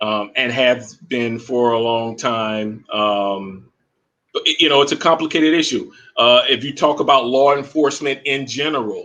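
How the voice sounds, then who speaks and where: With a bright, sharp tone, a man talks at a fairly slow pace. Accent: American. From Florida. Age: 50s. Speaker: pro athlete and author. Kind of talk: casual chat.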